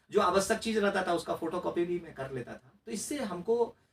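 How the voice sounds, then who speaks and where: A man speaks with a Bihar accent. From Mithila region, Bihar, India. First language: Maithili (speaking Hindi). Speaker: RTI activist and former election candidate. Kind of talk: interview. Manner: hesitant, with fillers and restarts.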